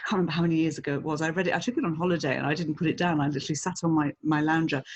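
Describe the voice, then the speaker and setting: A woman with an English accent talks very fast. Her pitch varies an ordinary amount. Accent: English-sounding. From England, Italian parents. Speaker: speaker bureau director. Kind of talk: podcast interview.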